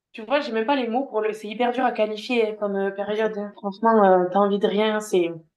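Here a woman speaks with fairly even intonation. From southwest France. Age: 20s. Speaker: speech therapist. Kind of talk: personal testimony interview. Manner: halting.

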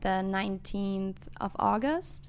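A woman with a German accent speaks at a very slow pace. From western Germany. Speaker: international student. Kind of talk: casual interview. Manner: hesitant, many fillers.

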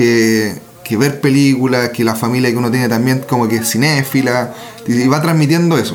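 A man with a Chilean accent speaks at a moderate pace in a medium pitch, his intonation fairly even. Noticeable background noise and audible room echo fill the recording. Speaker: film podcast co-host. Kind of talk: casual chat.

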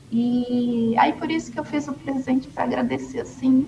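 Her voice is high, and the woman speaks at a fairly slow pace. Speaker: former nun, umbanda follower. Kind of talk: testimony.

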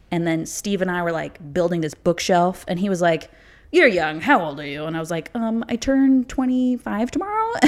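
Speaking with an American accent over noticeable background noise, a woman talks at a moderate pace in a medium pitch with very wide pitch swings. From US Midwest, Chicago suburbs (Illinois). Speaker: TV production coordinator. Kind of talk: casual chat.

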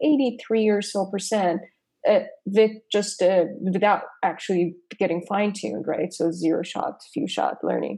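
In a Persian accent, a woman speaks fairly slowly in a dark, mellow tone. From Iran. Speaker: AI startup co-founder and researcher. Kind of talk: interview.

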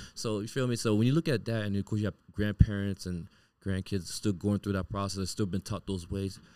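A man's fairly low-pitched, dark, mellow voice at a fairly quick pace, with ordinary pitch variation and a dry, close sound with no echo, in a very clean recording with a silent background. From Miami, Haitian parents. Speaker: therapist. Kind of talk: casual interview.

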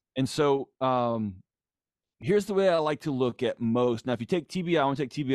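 With an American accent and a normal speaking voice, a man speaks at a moderate pace and medium pitch with lively intonation, the sound dry and close with no echo against a quiet background. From Texas, Houston. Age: 40s. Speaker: psychologist and author. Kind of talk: casual chat.

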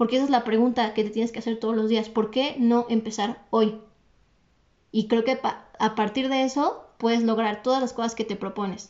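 A woman's fairly high voice with a Mexican accent. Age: 20s. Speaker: entrepreneur. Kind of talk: podcast interview. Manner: fast, energetic.

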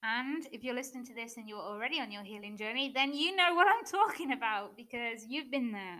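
A woman with an English accent talks at a fairly quick pace with hardly any pauses, using a high pitch, lively intonation, a bright, sharp tone and big swings in loudness. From England. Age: 20s. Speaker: mindset coach. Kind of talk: solo podcast monologue. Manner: unscripted, with filler words and laughs.

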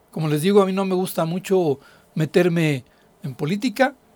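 Delivered at a fairly slow pace, the voice has a dry, close sound with no echo. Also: man. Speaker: radio host and finance professor. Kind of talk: radio talk show on personal finance. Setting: radio studio.

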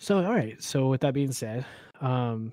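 Here a man talks at a moderate pace at a medium pitch. He has an ordinary speaking voice. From Oklahoma. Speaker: podcast co-host and insurance agent. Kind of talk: casual chat.

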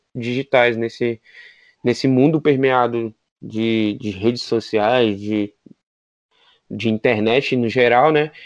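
Against a quiet background, a man of medium pitch talks at a very slow pace, leaving long, frequent pauses. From Brazil, Federal District. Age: 20s. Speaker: podcast co-host, pedagogy student. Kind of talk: casual chat. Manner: halting.

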